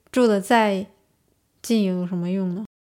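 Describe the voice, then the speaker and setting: At a moderate pace, a woman speaks in an unremarkable speaking voice at a medium pitch with fairly even intonation. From Northeast China. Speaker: master's student. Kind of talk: interview storytelling.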